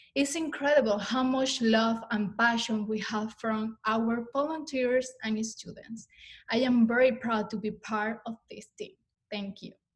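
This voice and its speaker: With a Spanish accent, a woman talks at a fairly slow pace in a fairly high pitch, her intonation fairly even. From Venezuela. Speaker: student services staff, former student. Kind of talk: prepared testimony.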